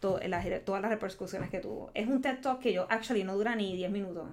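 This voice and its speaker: A woman is speaking. She has a Puerto Rican accent. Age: 40s. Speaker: creative agency co-founder. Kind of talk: casual interview.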